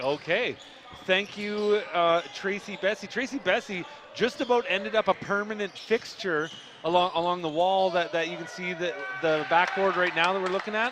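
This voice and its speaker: A man with a Canadian accent speaks at a moderate pace and a high pitch. Noticeable background noise can be heard. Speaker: basketball commentator. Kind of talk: live commentary. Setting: broadcast booth in gym. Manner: too quiet.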